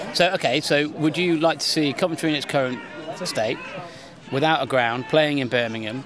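Speech with ordinary pitch variation goes at a moderate pace against noticeable background noise. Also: man, fairly high pitch for a man. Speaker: podcast host. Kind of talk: casual banter.

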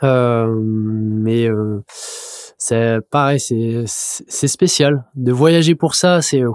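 A man with a medium pitch talks at a very slow pace, his loudness staying very even. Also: ordinary pitch variation. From Mimizan, Landes, southwest France. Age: 30s. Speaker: professional surfer. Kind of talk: casual interview. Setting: studio. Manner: hesitant, many repetitions.

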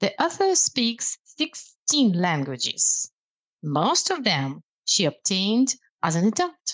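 A woman speaks in a Russian accent with vocal fry. Her pitch swings very widely, and the sound is dry and close with no echo. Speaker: language lecturer. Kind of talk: casual chat.

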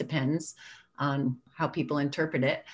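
A woman speaks against a quiet background. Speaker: storyteller. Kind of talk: interview.

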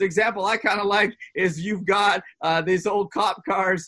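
A man speaks high for a man, in a raised, projected voice. His tone is bright and sharp. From Canada, Vancouver area. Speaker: pastor. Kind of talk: casual chat; sermon. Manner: loud.

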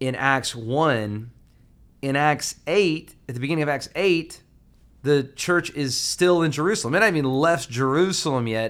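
Recorded very cleanly against a silent background, a normal speaking voice with an American accent moves at a moderate pace with ordinary pitch variation. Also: man, fairly high pitch for a man. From US South, Alabama. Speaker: pastor. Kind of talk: casual interview about sermon series.

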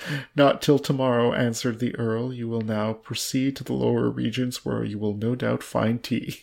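Fairly even intonation carries an unforced reading voice.

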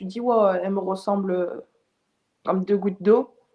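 This woman's tone is dark and mellow. She keeps a moderate pace. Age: 20s. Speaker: film director. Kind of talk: interview. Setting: remote call. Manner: halting. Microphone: poor sound quality.

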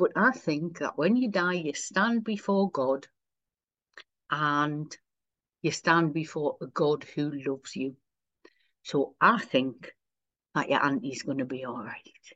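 A woman with a Wearside accent speaks very slowly in a very deep, low voice, leaving long, frequent pauses. Her intonation is lively, and the background is quiet. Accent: Wearside (Sunderland) English. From Sunderland, north-east England. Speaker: minister, priest. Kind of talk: casual interview chat.

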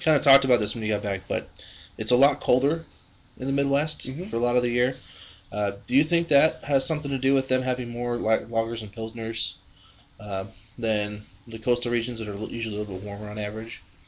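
At a very fast pace, a man talks with a medium pitch. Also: ordinary pitch variation. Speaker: beer podcast co-host. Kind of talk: casual chat.

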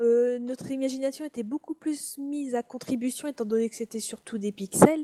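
A woman's fairly high voice carries a dark, mellow tone, captured with a dry, close sound and no echo. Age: 20s. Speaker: podcast co-host. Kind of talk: casual chat.

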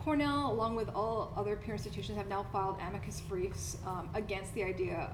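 Very fast talk from a woman, noticeable background noise behind her. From Canada, Toronto. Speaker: PhD graduate in English literature, podcast host. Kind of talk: keynote talk, conversational.

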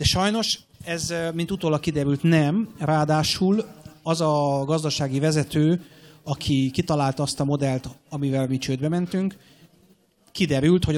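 Pitched fairly high, a man talks at a moderate pace with ordinary pitch variation in a normal speaking voice. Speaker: airline captain. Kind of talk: interview. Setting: stage with audience.

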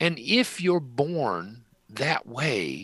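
Vocal fry runs through this man's voice. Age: 70s. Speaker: author and spiritual healer. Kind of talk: interview. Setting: video call.

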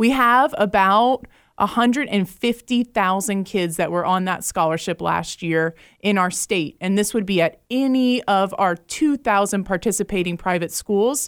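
On a very clean recording with a silent background, a woman with an American accent talks at a fairly slow pace in an unremarkable speaking voice. Her medium pitch has ordinary variation, her loudness is very even, and the sound is dry and close with no echo. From Jacksonville, Florida. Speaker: education nonprofit director. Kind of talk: radio interview.

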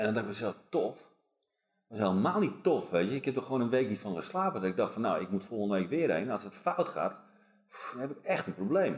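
The voice moves through very wide pitch swings. The pace is fairly quick. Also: man, medium pitch for a man. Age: 40s. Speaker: police team leader and performance coach. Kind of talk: casual chat. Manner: halting.

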